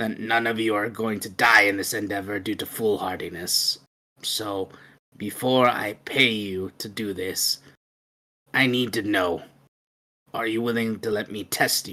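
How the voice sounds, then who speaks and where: A put-on character voice, raspy and low, at a moderate pace with long, frequent pauses. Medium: actual play. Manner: curt, dismissive.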